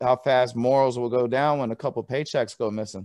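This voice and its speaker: Here is a man with a plain, everyday voice at a medium pitch, speaking at a moderate pace. His intonation is fairly even, and the recording is very clean with a silent background. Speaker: talk show host. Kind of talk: casual interview talk.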